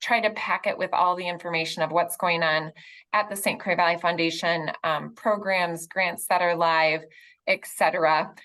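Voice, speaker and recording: In a quiet background, a woman with an unremarkable speaking voice talks at a medium pitch and a moderate pace. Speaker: foundation staff member. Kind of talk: presentation.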